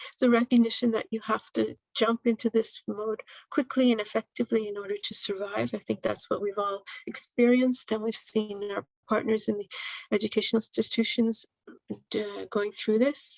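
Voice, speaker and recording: Fairly even intonation with a dry, close sound and no echo. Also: woman, fairly high pitch for a woman. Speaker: presenter from an international organization. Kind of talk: conference presentation. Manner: fast.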